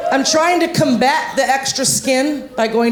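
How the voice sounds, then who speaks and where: The intonation is lively. Noticeable background noise and audible room echo surround the voice. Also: woman. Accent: American. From Ohio, US. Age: 50s. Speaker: stand-up comedian. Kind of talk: stand-up. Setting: stage with audience. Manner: fast; loud.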